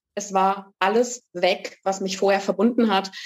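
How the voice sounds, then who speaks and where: This woman has a plain, everyday voice and a medium pitch. Her intonation is fairly even, and her pace is fairly slow. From eastern Germany, Saxony-Anhalt. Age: 40s. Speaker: author. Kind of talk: podcast interview.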